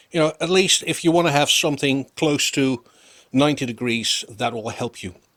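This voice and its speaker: The speaker has a non-native accent and a bright, sharp tone. The intonation is lively. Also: man. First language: not English. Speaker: woodworking YouTuber. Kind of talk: tutorial. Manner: casual, hesitant with fillers.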